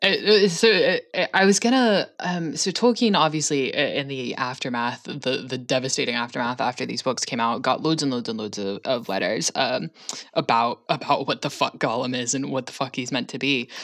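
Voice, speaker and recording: Animated and with lively intonation, a woman with a very deep, low voice talks at a moderate pace with hardly any pauses. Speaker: podcast co-host. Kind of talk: casual chat. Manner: animated, laughs often.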